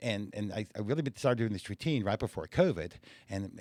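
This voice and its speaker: The recording is very clean, with a silent background. A man with an ordinary speaking voice talks at a fairly quick pace, with a fairly low pitch and lively intonation. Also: dry, close sound with no echo. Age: 60s. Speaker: stand-up comedian. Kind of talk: casual chat.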